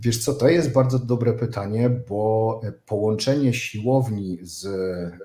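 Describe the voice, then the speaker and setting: A man speaks in a dark, mellow tone, somewhat breathy, with ordinary pitch variation. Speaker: remote guest. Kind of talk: interview answer. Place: office.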